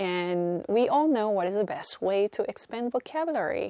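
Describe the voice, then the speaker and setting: A woman with a Korean accent speaks at a moderate pace with a fairly high pitch and very wide pitch swings. The recording is very clean with a silent background and a dry, close sound with no echo. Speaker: YouTuber. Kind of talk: scripted narration.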